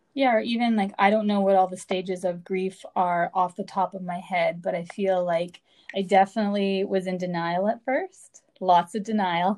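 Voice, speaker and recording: Against a quiet background, a woman with a medium pitch speaks at a moderate pace in a normal speaking voice, with fairly even intonation and hardly any pauses. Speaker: podcast host. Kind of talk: casual chat.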